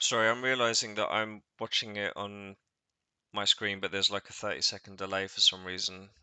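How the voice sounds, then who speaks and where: A man with an English accent, fairly low-pitched, talking at a fairly quick clip in a bright, sharp tone, with monotone, flat intonation, a dry, close sound with no echo and a quiet background. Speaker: tournament organizer and co-host. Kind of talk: casual chat. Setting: livestream.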